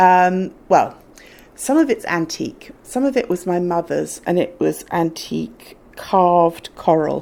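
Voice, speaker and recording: A woman speaks at a fairly slow pace in a very clean recording with a silent background. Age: 60s. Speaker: fashion vlogger. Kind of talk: casual chat. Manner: animated.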